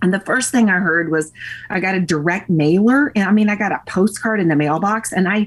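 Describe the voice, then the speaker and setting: A somewhat breathy woman with a Tennessee accent, a medium pitch, ordinary pitch variation and a fairly quick pace. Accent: Southern US (Tennessee). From US South, Nashville, Tennessee. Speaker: podcast interview guest, fitness enthusiast. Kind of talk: casual chat.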